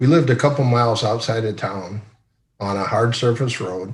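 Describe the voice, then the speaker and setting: Set against audible room echo, the somewhat breathy voice moves at a moderate pace with ordinary pitch variation. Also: man. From northwest Iowa, US Midwest. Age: 60s. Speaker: retired company executive. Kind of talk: interview. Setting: video call.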